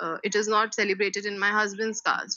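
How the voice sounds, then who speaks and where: A woman with an Indian accent, fairly high in pitch and at a fairly quick pace. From India, Delhi. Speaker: school teacher. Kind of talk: personal testimony interview.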